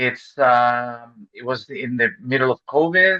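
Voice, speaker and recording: With a Chilean Spanish accent, a man speaks at a medium pitch and a very slow pace, with ordinary pitch variation and a bright, sharp tone. The sound is dry and close, with no echo. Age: 40s. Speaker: real estate investor. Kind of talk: interview. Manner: halting.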